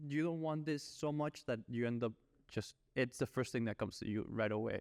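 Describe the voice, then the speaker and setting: A man speaks with a Spanish accent and ordinary pitch variation. His loudness stays very even, and the sound is dry and close with no echo. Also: medium pitch for a man. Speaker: podcast host. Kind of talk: casual podcast chat. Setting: podcast recording.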